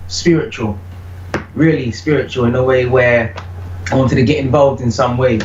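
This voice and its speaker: Lively in intonation and at a fairly quick pace, a man with a British accent speaks at medium pitch over noticeable background noise and audible room echo. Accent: British accent comes through in vocals. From UK. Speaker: reggae vocalist. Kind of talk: interview.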